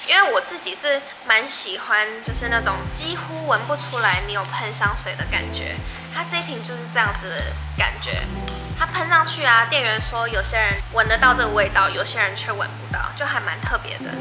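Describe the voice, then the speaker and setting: A woman talks at a moderate pace while music plays clearly behind her. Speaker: vlogger. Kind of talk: casual vlog chat, unboxing. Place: home room.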